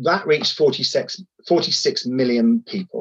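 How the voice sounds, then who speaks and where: A man is speaking. He has a southern English accent. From southern England, Sussex. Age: 50s. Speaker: charity chief executive. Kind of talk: interview.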